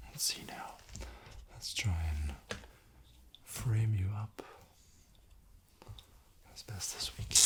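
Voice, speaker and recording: Whispering in a calm tone, a man speaks at a very slow pace with long, frequent pauses against noticeable background noise. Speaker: ASMR creator playing a camera operator. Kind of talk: ASMR roleplay, soft spoken to the listener. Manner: soft, whispered, calm, friendly.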